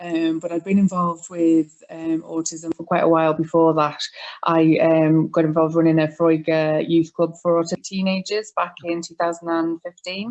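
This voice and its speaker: A woman with a Welsh accent speaks at a moderate pace in a flat monotone, fairly low-pitched, with hardly any pauses and a dry, close sound with no echo. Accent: Welsh, noticeable. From North Wales. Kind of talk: interview.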